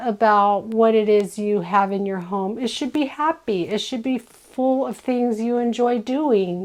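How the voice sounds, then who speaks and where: Talking fairly slowly, a woman lets her pitch vary in an ordinary way. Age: 60s. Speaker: lifestyle vlogger. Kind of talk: casual chat. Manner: rambling, halting with fillers.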